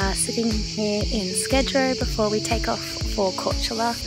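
Loud music plays in the background. A woman speaks, and the sound is dry with no echo. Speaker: travel vlogger. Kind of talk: casual vlog chat. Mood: cheerful, relaxed. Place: boat. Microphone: phone near.

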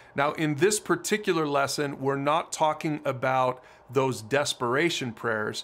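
A man's moderate pace and ordinary pitch variation. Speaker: ministry teacher. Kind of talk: teaching talk to camera. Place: home room.

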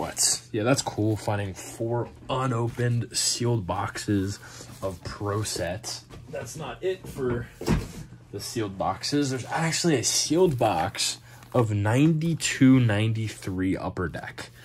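A man at a fairly slow pace, over light background noise. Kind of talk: casual vlog chat. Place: home room. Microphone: phone near.

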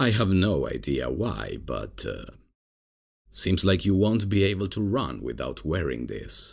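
A man's put-on character voice, low-pitched and slow, with big pitch swings and vocal fry

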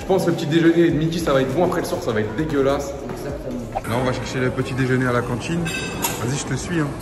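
Through noticeable background noise, a man speaks at a very fast pace with ordinary pitch variation. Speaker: family vlogger. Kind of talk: casual vlog chat. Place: hall. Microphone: phone near.

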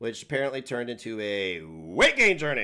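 A man is speaking. He moves at a fairly quick pace. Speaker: livestream host. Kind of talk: casual livestream chat. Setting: live stream. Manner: crude and abrasive. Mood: angry, mocking. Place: home room. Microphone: headset.

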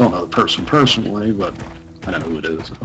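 A man at a very fast pace, over noticeable background noise. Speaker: gaming YouTuber. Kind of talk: let's play commentary. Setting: home recording setup.

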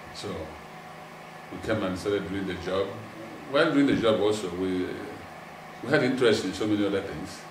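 Against noticeable background noise, a man speaks at a fairly quick pace in a fairly low pitch. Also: ordinary pitch variation. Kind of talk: interview answer. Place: home room. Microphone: lapel.

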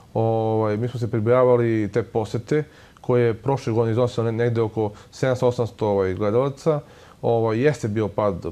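A man speaks at a very fast pace with fairly even intonation. His tone is dark and mellow. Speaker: guest. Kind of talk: interview answer. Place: studio. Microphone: lapel.

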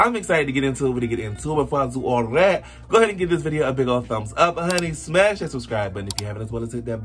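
A man talks very quickly while clear background noise carries on. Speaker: reaction video host. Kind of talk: casual vlog chat. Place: home room.

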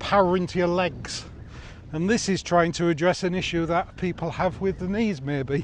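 A man speaks at a high pitch with fairly even intonation. The sound is dry with no echo, over light background noise. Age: 60s. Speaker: YouTuber reviewing outdoor gear. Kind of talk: product review vlog. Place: open country.

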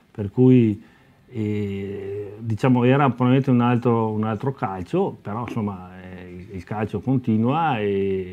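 The tone is dark and mellow, and the pace very slow. Loudness rises and falls in big swings. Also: man, fairly low pitch for a man, ordinary pitch variation. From Veneto, Italy (Lugagnano, Verona); Veneto, Italy. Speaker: amateur football club president. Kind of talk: interview. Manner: halting. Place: studio.

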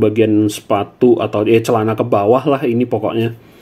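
A man talking at a fairly quick clip. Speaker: toy reviewer. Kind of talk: casual toy review commentary. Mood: relaxed, nostalgic. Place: home room. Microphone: phone near.

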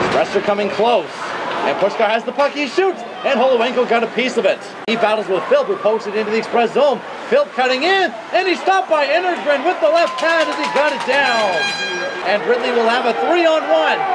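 Loud background noise under a fairly quick pace. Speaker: hockey play-by-play announcer. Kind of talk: live commentary.

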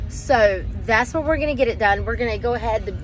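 Faint music plays in the background. The woman's voice sounds dry, with no echo. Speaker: family travel vlogger. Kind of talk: casual vlog chat. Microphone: phone near.

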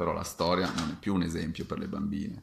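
Man with a very deep, low pitch and fairly even intonation, at a fairly quick pace over light background noise. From Sicily, Catania. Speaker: fencing master. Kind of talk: video talk to camera. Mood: friendly, animated. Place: home room. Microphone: webcam.

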